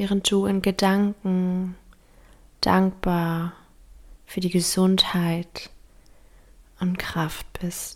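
Very slow and marked by long, frequent pauses, the speech has a calm, gentle tone on a very clean recording with a silent background. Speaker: meditation guide. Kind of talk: guided meditation. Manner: slow, soft-spoken, soothing; calm, gentle, with long pauses.

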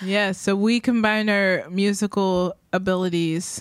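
On a very clean recording with a silent background, a woman with an unremarkable speaking voice talks at a medium pitch and a fairly slow pace, her intonation fairly even. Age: 30s. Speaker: podcast co-host, musician. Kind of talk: casual chat.

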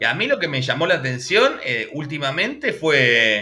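A man's voice over noticeable background noise. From Argentina, Buenos Aires province interior near Bahía Blanca. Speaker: YouTube channel host, cartoon history specialist. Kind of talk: casual chat. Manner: animated.

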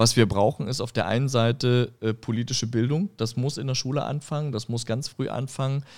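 In a very clean recording with a silent background, a man with a plain, everyday voice talks at a fairly quick pace with fairly even intonation. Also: medium pitch for a man. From eastern Germany, Görlitz (Upper Lusatia, Saxony). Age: 40s. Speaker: political candidate. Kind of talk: interview discussion.

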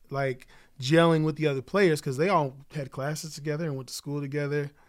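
Speaking at a fairly quick pace with an American accent, a man has a plain, everyday voice, fairly high in pitch with fairly even intonation, in a very clean recording with a silent background. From Oklahoma City. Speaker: musician and songwriter. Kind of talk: casual chat.

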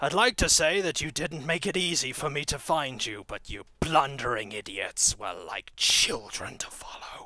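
A man uses a put-on character voice at a fairly high pitch. He keeps a moderate pace with hardly any pauses. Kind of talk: horror game villain. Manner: taunting, menacing, smug.

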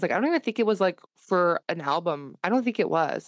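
A woman with a normal speaking voice talks at a fairly quick pace with lively intonation, heard dry and close with no echo. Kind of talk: casual chat.

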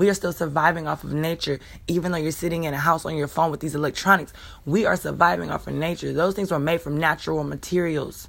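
A woman with vocal fry speaks at a very fast pace in a very deep, low pitch with fairly even intonation, on a very clean recording with a silent background. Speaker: spiritual podcast host, self-described healer. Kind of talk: spiritual monologue. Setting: home recording, morning. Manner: casual, conversational.

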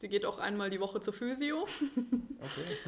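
A woman with an ordinary speaking voice, at a moderate pace and with ordinary pitch variation. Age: 30s. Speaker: sled dog sports enthusiast. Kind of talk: casual chat. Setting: physio practice, remote podcast.

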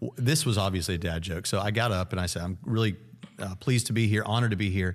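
Speech comes at a very fast pace with ordinary pitch variation, in a very clean recording with a silent background. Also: man. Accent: American. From Tennessee, US South. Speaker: college president and apologetics professor. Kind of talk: casual interview. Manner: fast talker.

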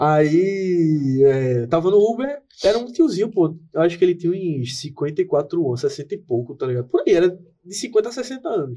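With a dark, mellow tone, this man speaks high-pitched and fairly slowly, his pitch swinging very widely. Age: 20s. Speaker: podcast co-host, graphic designer. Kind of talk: casual chat. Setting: studio.

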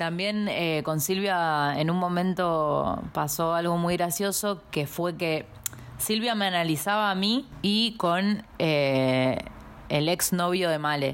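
Speaking at a very slow pace, a woman keeps her loudness very even, her fairly low pitch moving with ordinary variation. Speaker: podcast co-host. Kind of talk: casual chat.

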